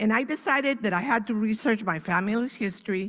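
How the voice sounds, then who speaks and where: A woman's fairly high-pitched voice with ordinary pitch variation, in a very clean recording with a silent background. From Venezuela. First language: Spanish. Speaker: author and Holocaust family speaker. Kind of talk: speech.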